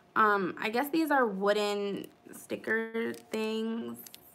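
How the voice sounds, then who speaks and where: Audible room echo around a woman's voice pitched fairly high. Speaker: planner YouTuber. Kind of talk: live stream haul. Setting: live stream. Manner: casual chatty.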